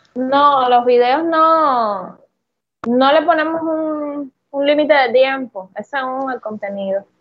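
A woman talks at a very slow pace in a high pitch with ordinary pitch variation. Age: 30s. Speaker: content creator. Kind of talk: interview.

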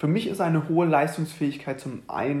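The man's voice sounds somewhat breathy. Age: 20s. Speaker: fitness coach and podcast host. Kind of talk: solo podcast monologue. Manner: casual with many fillers.

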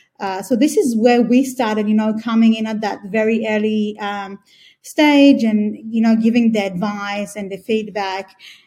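Her voice is fairly high in pitch and somewhat breathy, with a dark, mellow tone. The woman speaks at a moderate pace with fairly even intonation. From Australia. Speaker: B2B growth agency CEO. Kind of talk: interview. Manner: hesitant, many fillers.

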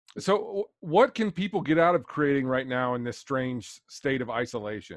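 Against a quiet background, a man with an unremarkable speaking voice talks at a medium pitch and moderate pace with lively intonation. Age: 40s. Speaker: podcast host. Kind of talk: interview.

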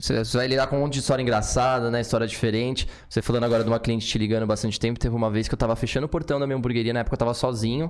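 A man talks at a very fast pace with hardly any pauses. His pitch is medium, his intonation fairly even, and his loudness very even. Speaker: podcast co-host. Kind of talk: casual interview chat.

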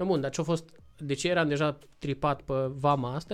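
A man talks at a fairly quick pace with a fairly high pitch. The recording is very clean, with a silent background. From Romania. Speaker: motorcycle traveler. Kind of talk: casual interview chat. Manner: animated.

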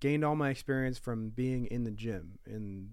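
This is a man with a plain, everyday voice and a medium pitch. He speaks at a moderate pace with ordinary pitch variation. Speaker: professional MMA fighter. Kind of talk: casual chat.

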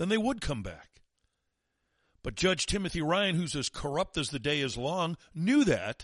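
Over a quiet background, a man with an American accent talks at a moderate pace in an animated tone, his voice showing vocal fry and very wide pitch swings. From St. Louis, US Midwest. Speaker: talk radio host. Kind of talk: angry rant. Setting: studio. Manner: animated, scornful.

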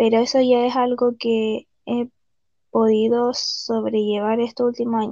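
The speaker is a woman talking at a fairly slow pace. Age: 30s. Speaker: patient. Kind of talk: testimony.

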